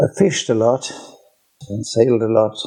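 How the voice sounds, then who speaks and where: A man with a West Cork accent, medium pitch, moderate pace and fairly even intonation. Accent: West Cork Irish. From Ireland, West Cork. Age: 80s+. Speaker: retired teacher trainer. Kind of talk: casual chat.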